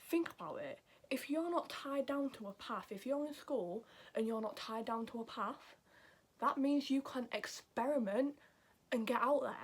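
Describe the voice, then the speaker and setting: With a Yorkshire accent, a woman talks at a moderate pace in a high pitch with ordinary pitch variation. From Yorkshire, northern England. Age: 20s. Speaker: YouTuber giving advice. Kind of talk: casual advice vlog.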